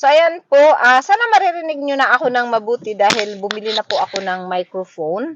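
Her pitch high and swinging very widely, a woman talks at a fairly quick pace with hardly any pauses. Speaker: vlogger. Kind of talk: casual vlog talk. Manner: halting. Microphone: phone microphone.

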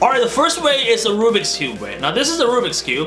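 With clear music in the background, a man speaks in a raised, projected voice. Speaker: vlogger giving career advice. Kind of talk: casual explainer to camera. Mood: light, playful. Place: home room.

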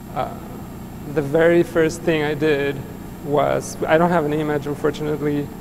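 A man's fairly high, monotone, flat voice at a moderate pace, with long, frequent pauses and noticeable background noise. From Mexico City. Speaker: artist. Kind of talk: public conversation. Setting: stage with audience. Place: hall.

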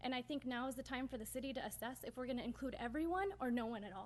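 A woman with an American accent talks very fast in a high, shaky voice. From US West Coast (Northern California). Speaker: city council member. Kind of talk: public meeting speech. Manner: shaky, emotional.

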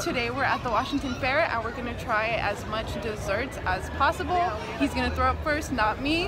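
Against crowd noise in the background, a woman speaks at a fairly quick pace, the sound dry with no echo. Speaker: vlogger. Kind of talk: casual vlog chat. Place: market. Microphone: phone near.

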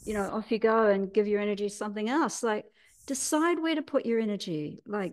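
With lively intonation and a fairly high pitch, a woman talks at a moderate pace against a quiet background. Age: 60s. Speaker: healer and teacher; teacher. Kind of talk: interview. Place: home room. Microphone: video call.

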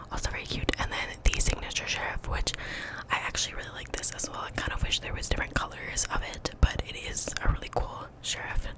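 A whispering woman with a relaxed tone at a moderate pace. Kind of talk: ASMR gaming video, casual talk to camera. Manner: whispered, relaxed, close-mic. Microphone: studio mic.

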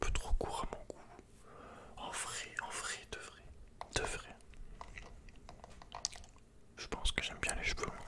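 A man whispers at a fairly slow pace. Long pauses come often. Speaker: guest. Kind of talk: soft ASMR chat. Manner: soft ASMR murmur close to mic. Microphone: studio mic.

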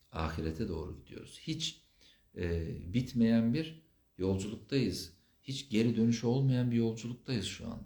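A man's somewhat breathy, dark, mellow voice, medium in pitch, fairly slow, with lively intonation. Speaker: psychotherapist. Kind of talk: live Q&A stream. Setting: livestream.

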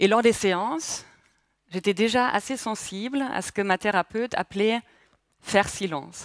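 In a German accent, a woman talks at a fairly slow pace with long, frequent pauses and ordinary pitch variation. The sound is dry with no echo, and the background is quiet. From Germany, Palatinate. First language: German (speaking French). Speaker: mindfulness instructor. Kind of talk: speech. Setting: stage with audience. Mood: calm, reflective, personal. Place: hall. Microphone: headset.

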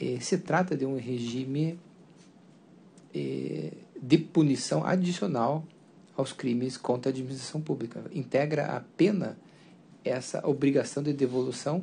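With a dark, mellow tone and a somewhat breathy quality, a man speaks at a fairly slow pace, leaving long, frequent pauses, his pitch varying in an ordinary way. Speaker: appellate judge. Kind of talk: judicial vote statement. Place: hall. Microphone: podium.

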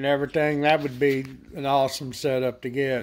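Speaking at a moderate pace, a man delivers his lines. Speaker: product reviewer. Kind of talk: casual product review. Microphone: phone near.

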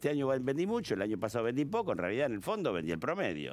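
Over faint background music, a man talks at a very fast pace with very wide pitch swings. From Argentina. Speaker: tax specialist; guest. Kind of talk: TV interview. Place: studio. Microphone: headset.

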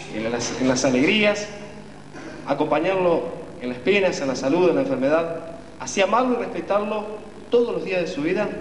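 Pausing long and often, a man speaks at a moderate pace amid audible room echo and light background noise. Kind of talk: ceremony officiating speech. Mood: warm, moved. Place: hall. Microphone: camera far.

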